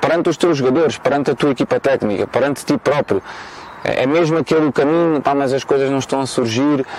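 A man talks fairly quickly at medium pitch, intonation fairly even, with noticeable background noise around him. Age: 30s. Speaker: football coach. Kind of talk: interview. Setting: outdoors in a park.

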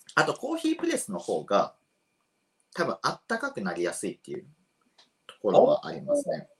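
Long, frequent pauses break up a man's fairly quick speech, which swings widely in loudness. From Japan, Shiga Prefecture. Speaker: coffee roaster and shop owner. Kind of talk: explanatory lecture.

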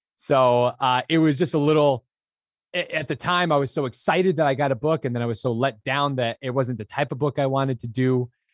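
A man speaks in a plain, everyday voice at a medium pitch, fairly quickly and with ordinary pitch variation. The sound is dry and close with no echo, very clean against a silent background. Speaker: audiobook narrator. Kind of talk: casual anecdote.

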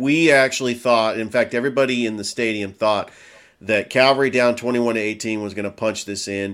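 This is a man's voice at a medium pitch. His pitch varies in an ordinary way. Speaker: sports broadcaster. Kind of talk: sports talk show. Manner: enthusiastic.

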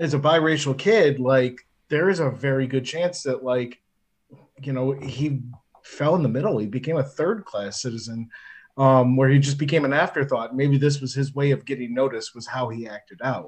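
A man's somewhat breathy voice at a moderate pace, with ordinary pitch variation. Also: medium pitch for a man. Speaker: podcast co-host. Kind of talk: casual chat. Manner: talkative.

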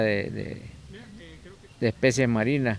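A man speaks with a Nicaraguan accent. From Nicaragua, Pacific coast peninsula. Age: 50s. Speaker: fisherman. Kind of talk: interview testimony. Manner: halting, many repetitions.

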